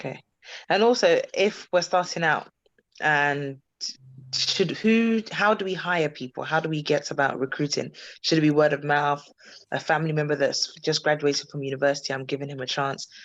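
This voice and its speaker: The speaker talks at a moderate pace with a British accent against a quiet background. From UK. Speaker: podcast host. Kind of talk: interview.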